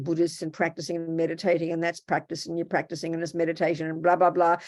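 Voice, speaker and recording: In a very clean recording with a silent background, a woman with an Australian accent talks at a very fast pace and a fairly low pitch. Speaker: Buddhist nun and teacher. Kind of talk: dharma talk. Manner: animated.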